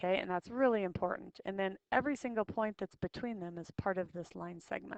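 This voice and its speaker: A woman with a normal speaking voice, medium pitch and ordinary pitch variation, hardly any pauses, and a dry, close sound with no echo. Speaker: math teacher. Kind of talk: lecture.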